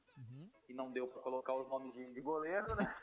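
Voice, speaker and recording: Noticeable background noise sits behind a man whose fairly high pitch and ordinary pitch variation carry along at a fairly quick pace. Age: 40s. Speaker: futsal goalkeeper. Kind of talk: casual interview. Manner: halting, repeats words.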